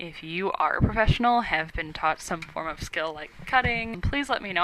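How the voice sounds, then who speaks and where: Noticeable background noise sits behind a woman who is speaking. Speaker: college student video blogger. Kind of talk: vlog introduction. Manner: monotone; dry, sarcastic delivery.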